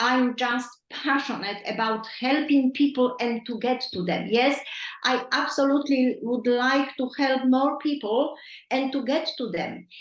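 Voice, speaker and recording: A woman speaks with a non-native accent. Her pitch is high for a woman and her pace is fairly slow. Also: ordinary pitch variation. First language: not English. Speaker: nutrition coach. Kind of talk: coaching call. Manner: halting.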